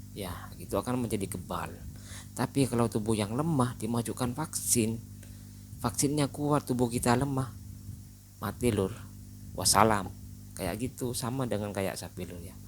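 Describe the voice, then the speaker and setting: With a Madurese accent, a man speaks at a moderate pace in a medium pitch with vocal fry. His pitch variation is ordinary, and his pauses are long and frequent. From Madura, Indonesia. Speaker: livestock channel host. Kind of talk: casual vlog talk. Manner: casual, conversational with fillers.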